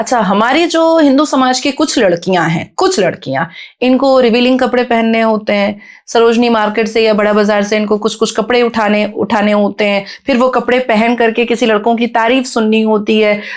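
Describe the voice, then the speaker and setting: A woman speaks in an animated tone with ordinary pitch variation. Her loudness stays very even. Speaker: podcast guest, activist. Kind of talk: podcast interview. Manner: fluent, flowing.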